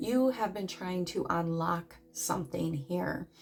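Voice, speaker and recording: Against noticeable background noise, a woman with a medium pitch talks at a fairly slow pace with lively intonation. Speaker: tarot reader. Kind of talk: tarot reading.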